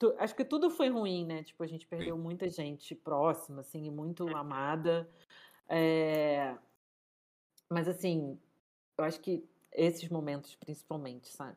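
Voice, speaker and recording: With long, frequent pauses and a fairly slow pace, a woman speaks at a fairly low pitch in a dark, mellow tone with ordinary pitch variation, on a very clean recording with a silent background. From Rio de Janeiro, Brazil. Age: 30s. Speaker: cook and food entrepreneur. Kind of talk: casual interview chat.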